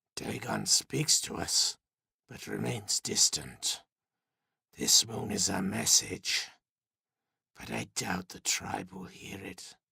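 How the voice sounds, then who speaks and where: A man puts on a raspy character voice, very deep and low in pitch. He talks at a very slow pace with long, frequent pauses. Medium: read story. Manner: resentful, menacing.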